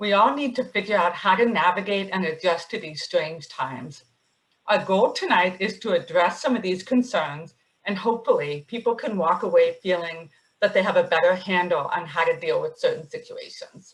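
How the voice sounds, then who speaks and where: Speaking at a moderate pace, a woman uses a medium pitch with ordinary pitch variation and a somewhat breathy quality. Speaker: psychiatrist and webinar moderator. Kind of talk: webinar moderation. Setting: webinar.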